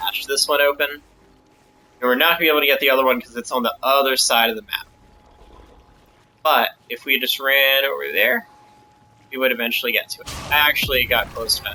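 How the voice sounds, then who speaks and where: A man at a fairly quick pace, with long, frequent pauses, over noticeable background noise. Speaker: gamer making a game tutorial. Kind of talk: tutorial. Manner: fast.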